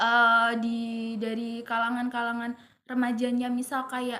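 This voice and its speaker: At a moderate pace, a woman speaks in a high pitch with a bright, sharp tone. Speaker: university student interviewer. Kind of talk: student podcast interview.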